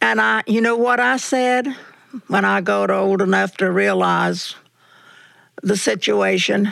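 A woman with a Southern US accent, very even in loudness, at a fairly slow pace with long, frequent pauses. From US South. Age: 80s+. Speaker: church member telling life story. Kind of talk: casual interview. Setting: at home, in living room. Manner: cheerful, laughs often.

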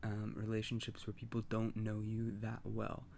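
A man's fairly low, dark, mellow voice carries audible room echo. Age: 20s. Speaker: personal podcaster. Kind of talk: personal monologue. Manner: halting, many fillers.

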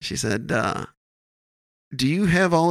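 An unremarkable speaking voice from a man with an American accent, at a moderate pace and with ordinary pitch variation, on a very clean recording with a silent background. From Wisconsin. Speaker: stand-up comedian. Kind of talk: casual chat.

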